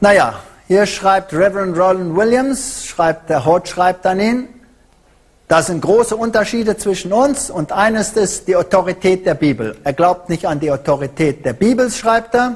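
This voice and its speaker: Fairly slow speech from a man, with a quiet backdrop. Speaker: lecturer. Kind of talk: lecture. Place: hall. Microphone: handheld.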